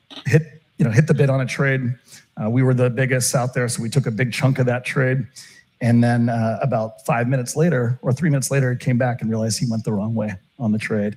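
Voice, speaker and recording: Talking at a very fast pace with an American accent, a man uses a medium pitch and fairly even intonation. His voice is somewhat breathy. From Turkey and Texas. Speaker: options trader. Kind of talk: interview conversation. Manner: many filler words and restarts.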